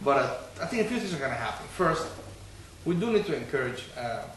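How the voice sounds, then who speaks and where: A man at a very fast pace with very wide pitch swings, plus noticeable background noise and audible room echo. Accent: slight non-native. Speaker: city council member, political candidate. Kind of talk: political discussion interview. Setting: bookstore.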